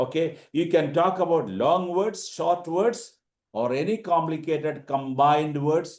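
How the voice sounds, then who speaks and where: A man in a Keralite accent, his pitch fairly high, with ordinary pitch variation and a fairly slow pace. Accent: Indian (Keralite). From India, Kerala. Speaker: teacher / language trainer. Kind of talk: online orientation lecture. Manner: halting, many fillers.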